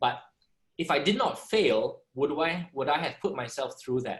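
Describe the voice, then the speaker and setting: Somewhat breathy delivery at a moderate pace. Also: man. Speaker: entrepreneur and former radio DJ. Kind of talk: panel discussion. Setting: video call.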